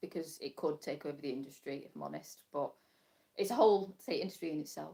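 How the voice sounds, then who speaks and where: A woman with a British accent talks at a fairly quick pace. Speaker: crafter and small embroidery business owner. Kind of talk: casual live stream chat. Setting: live stream from home workshop. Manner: fast; chatty, halting with fillers.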